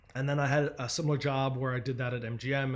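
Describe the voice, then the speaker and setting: A man speaks with an American accent. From Philadelphia, US. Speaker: agency founder and speaker. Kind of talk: presentation talk. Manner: fast.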